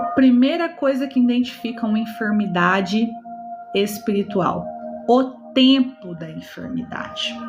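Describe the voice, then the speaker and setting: Over background music and audible room echo, a woman speaks at a fairly slow pace and a fairly high pitch. Her pitch variation is ordinary, and her loudness swings widely. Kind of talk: live-streamed sermon. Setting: online live stream. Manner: animated.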